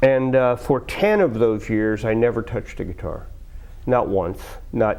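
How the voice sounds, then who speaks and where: A man with a plain, everyday voice at a medium pitch. He speaks fairly slowly with ordinary pitch variation. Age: 60s. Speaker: blues musician. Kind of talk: interview. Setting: studio. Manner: casual.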